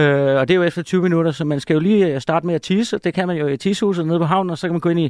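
The speech moves at a very fast pace with ordinary pitch variation. It is a very clean recording with a silent background and a dry, close sound with no echo. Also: man. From Denmark, Ærø. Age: 30s. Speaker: TV personality, chips brand face. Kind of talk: casual chat.

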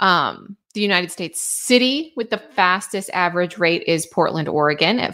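A woman's voice at medium pitch with lively intonation, a moderate pace and an unremarkable speaking voice. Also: very clean recording, silent background. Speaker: weather forecaster podcast host. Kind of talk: weather forecast briefing. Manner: upbeat, friendly.

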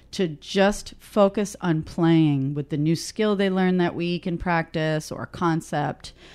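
In a New York accent, a woman speaks with fairly low pitch and fairly even intonation. She hardly pauses, and the background is quiet. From Queens, New York. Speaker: radio host. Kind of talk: interview.

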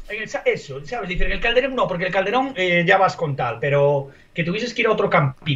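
Over noticeable background noise, a man with a high pitch talks at a fairly quick pace, his pitch swinging very widely. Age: 40s. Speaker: sports podcast panelist. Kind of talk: casual chat.

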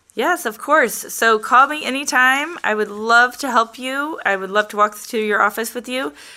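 A woman with an American accent talks at a moderate pace in a high voice with ordinary pitch variation and hardly any pauses. Noticeable background noise runs underneath. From St. Louis, Missouri (South County). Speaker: real estate agent. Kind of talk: casual interview.

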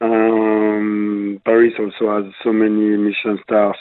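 With a French accent, a man speaks in a fairly low pitch with monotone, flat intonation. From La Rochelle, western France. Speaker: executive chef. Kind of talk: interview. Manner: halting, many fillers.

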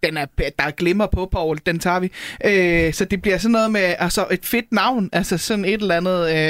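A woman with a plain, everyday voice speaks at a moderate pace and medium pitch, her loudness very even and her intonation fairly even. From North Jutland, Denmark. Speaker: stand-up comedian. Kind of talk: casual chat.

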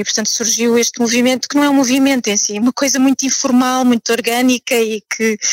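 A woman talks fairly quickly with fairly even intonation in a normal speaking voice. The sound is dry and close, with no echo. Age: 40s. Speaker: art historian and activist. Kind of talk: interview.

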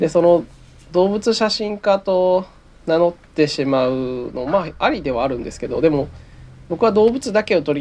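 This man speaks at a moderate pace with a dark, mellow tone and a fairly high pitch. His intonation is lively and his loudness swings widely. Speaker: wildlife photographer. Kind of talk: interview. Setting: remote recording.

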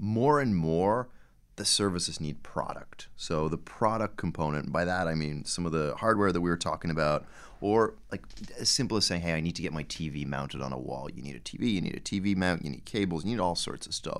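With an American accent, a man with a very deep, low pitch and vocal fry talks at a fairly quick pace, his intonation lively. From Dublin, Ireland. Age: 30s. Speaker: company founder and CEO. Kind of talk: casual interview.

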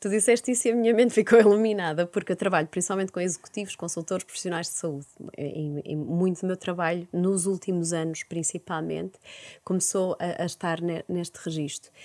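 In a Porto accent, a woman speaks with a dark, mellow tone at a fairly low pitch and a fairly quick pace. The recording is very clean with a silent background. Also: ordinary pitch variation, dry, close sound with no echo. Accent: northern European Portuguese (Porto). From Porto, northern Portugal. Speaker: psychologist. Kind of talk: interview.

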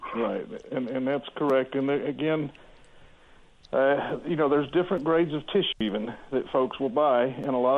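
A man talks with a Texan accent at a medium pitch. His pace is moderate and his pitch variation ordinary. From Texas, Houston. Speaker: logging industry representative. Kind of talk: radio interview.

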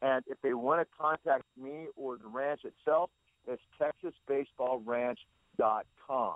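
Talking at a fairly slow pace, a man uses an ordinary speaking voice with fairly high pitch. His intonation is fairly even, yet his loudness swings widely. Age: 60s. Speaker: pitching trainer and baseball consultant. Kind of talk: interview.

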